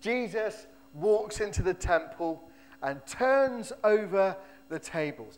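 A man speaks loudly with lively intonation. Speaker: pastor. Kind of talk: sermon. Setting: church. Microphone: echo.

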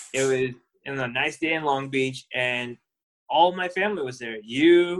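At a moderate speed, a man with an unremarkable speaking voice talks fairly high in pitch, and his pitch varies in an ordinary way. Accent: American. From Southern California, Orange County. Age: 30s. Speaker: podcast co-host, accountant. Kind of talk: casual chat.

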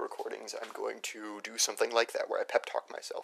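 A man talks quietly. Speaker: vlogger. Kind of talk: personal audio diary. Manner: hesitant, many fillers; kept quiet for neighbors.

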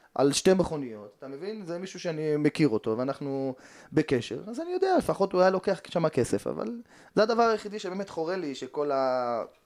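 On a very clean recording with a silent background, a man speaks fairly quickly at a fairly high pitch, with very wide pitch swings and big swings in loudness. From Jerusalem, Israel. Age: 40s. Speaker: footballer. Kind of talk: interview. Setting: studio.

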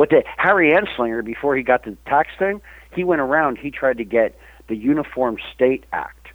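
At a moderate pace, a man talks with lively intonation and a fairly high pitch in an unremarkable speaking voice. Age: 50s. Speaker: magazine publisher and cannabis activist. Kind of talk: casual interview.

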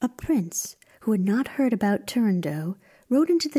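In a very clean recording with a silent background, a woman's dark, mellow, somewhat breathy voice carries a dramatic, theatrical tone and lively intonation. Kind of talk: scripted storytelling narration of a fairy tale. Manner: dramatic, storyteller's cadence with theatrical emphasis.

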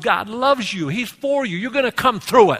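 A raised, projected voice with an animated tone and very wide pitch swings moves at a fairly quick pace over noticeable background noise. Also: man. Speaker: pastor. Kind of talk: sermon. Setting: church. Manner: animated, call-and-response preaching; loud, fervent, exhorting the congregation.

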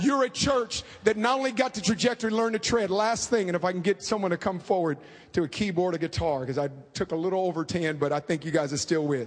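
With an American accent, a man with high pitch talks at a very fast pace in an animated tone. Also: lively intonation. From US West Coast, inner-city Oakland, California. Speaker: preacher and author. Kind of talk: sermon.

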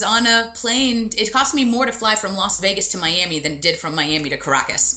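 Lively intonation from a woman in an American accent, noticeable noise behind her. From USA. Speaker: travel blogger and photographer. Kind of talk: interview. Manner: hesitant, many fillers.

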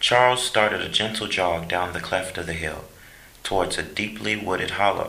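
Someone reading aloud in a natural voice.

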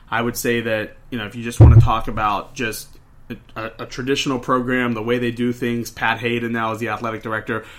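Fairly quick, monotone, flat speech from a man, with big swings in loudness and noticeable background noise. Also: medium pitch for a man. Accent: American. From Pittsburgh, Pennsylvania. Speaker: college football podcast co-host. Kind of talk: casual sports chat.

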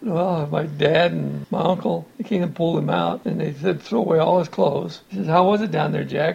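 With an American accent, a man speaks at a fairly quick pace with hardly any pauses, against noticeable background noise. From Montana, US. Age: 60s. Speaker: retired farm-raised family elder. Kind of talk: family oral history interview.

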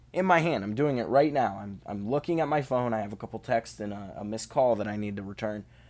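Lively intonation marks this man's fairly quick delivery. The recording is very clean, with a silent background. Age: 20s. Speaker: podcast host. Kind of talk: casual monologue.

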